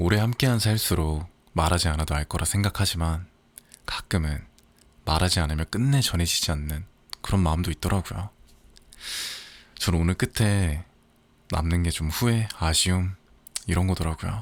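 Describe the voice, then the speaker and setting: A man talks at a moderate pace in a very deep, low pitch with a gentle tone and ordinary pitch variation. His loudness stays very even, broken by long, frequent pauses. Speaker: audiobook narrator. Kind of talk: casual spoken intro to listeners. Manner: soft-spoken, gentle.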